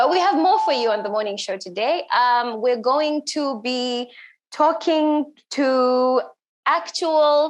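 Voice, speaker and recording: Very slowly, a woman talks at a high pitch with lively intonation. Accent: East African. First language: Swahili. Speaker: event host. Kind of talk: live event hosting. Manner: casual, searching for words.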